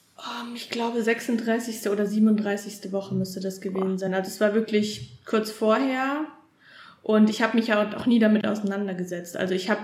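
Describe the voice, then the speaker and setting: A woman with a fairly high pitch speaks at a moderate pace. Noticeable background noise and audible room echo accompany her. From Thuringia, Erfurt. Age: 20s. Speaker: new mother. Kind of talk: interview testimony. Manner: hesitant, many fillers.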